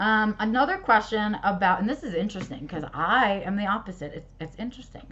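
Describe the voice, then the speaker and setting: Her pitch fairly high, a woman speaks at a fairly quick pace with ordinary pitch variation. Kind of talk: solo Q&A livestream. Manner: fast.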